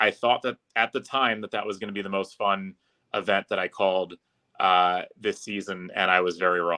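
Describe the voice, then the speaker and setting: With an unremarkable speaking voice, a man talks at a moderate pace, fairly low in pitch and with fairly even intonation. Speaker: public address announcer for a hockey team. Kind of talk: casual podcast interview answer.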